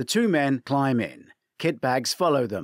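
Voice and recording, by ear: In a very clean recording with a silent background, the voice moves at a fairly slow pace with big pitch swings. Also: man, medium pitch for a man.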